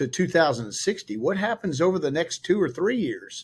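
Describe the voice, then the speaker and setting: The recording is very clean, with a silent background. A man with an American accent speaks in a normal speaking voice at a moderate pace with lively intonation. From Texas. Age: 60s. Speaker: investment advisor and podcast host. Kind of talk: interview conversation.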